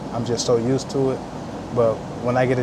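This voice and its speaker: Here a man speaks at a fairly quick pace and medium pitch. Room echo is audible, and background noise is noticeable. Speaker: truck driver vlogger. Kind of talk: casual vlog. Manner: fast.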